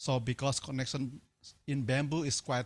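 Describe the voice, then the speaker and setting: With an Indonesian accent, a man speaks fairly quickly at a medium pitch, somewhat breathy, with ordinary pitch variation, on a very clean recording with a silent background. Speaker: timber engineering researcher. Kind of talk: lecture.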